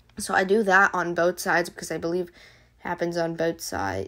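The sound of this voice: A woman puts on a raspy character voice, fairly low in pitch, monotone with flat intonation, at a fairly quick pace.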